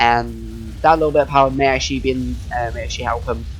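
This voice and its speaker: The voice moves at a fairly quick pace while music plays in the background. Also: man. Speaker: game commentator. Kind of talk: casual chat; live commentary. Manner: halting.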